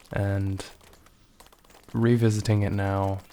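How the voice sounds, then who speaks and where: Soft-spoken and monotone, a man talks in a fairly low, dark, mellow voice with flat intonation. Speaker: gaming vlogger. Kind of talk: casual vlog monologue. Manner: soft-spoken, muted; hesitant, many fillers.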